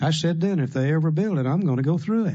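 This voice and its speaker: Against a quiet background, a man with a normal speaking voice talks at a fairly quick pace. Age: 60s. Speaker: AA speaker. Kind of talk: recovery workshop talk. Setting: room with audience.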